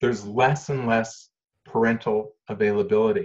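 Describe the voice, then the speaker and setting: A man talks at a fairly slow pace, somewhat breathy. His pitch swings very widely. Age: 60s. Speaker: social worker. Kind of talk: interview. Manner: matter-of-fact.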